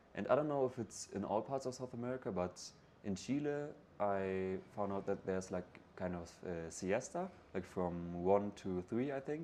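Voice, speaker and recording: Speaking with a German accent at a moderate pace, a man uses a fairly low pitch, a dark, mellow tone and lively intonation. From northern Germany, near Hamburg. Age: 20s. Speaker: backpacker. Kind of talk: interview. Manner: halting, many fillers and repeats.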